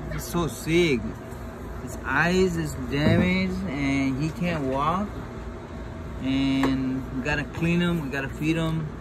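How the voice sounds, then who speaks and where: A man speaks at a very slow pace with long, frequent pauses. Noticeable background noise runs underneath. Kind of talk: casual vlog commentary. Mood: worried, concerned. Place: garden. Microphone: phone near.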